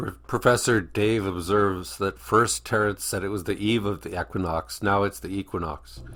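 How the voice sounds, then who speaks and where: A man talks at a moderate pace with vocal fry and ordinary pitch variation. The recording is very clean, with a silent background. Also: hardly any pauses. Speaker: reaction video commentator. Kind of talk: casual reaction commentary.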